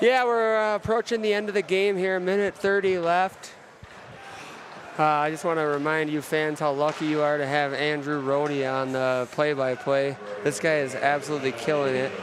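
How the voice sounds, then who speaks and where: A man speaks with an American accent, his pitch fairly high for a man and his intonation lively. He keeps a moderate pace over noticeable background noise. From Minnesota, Austin. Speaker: hockey color commentator. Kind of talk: live sports commentary.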